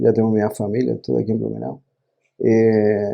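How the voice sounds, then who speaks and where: A man is speaking. He has a Chilean accent. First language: Spanish (speaking Portuguese). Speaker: company CEO. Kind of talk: podcast interview.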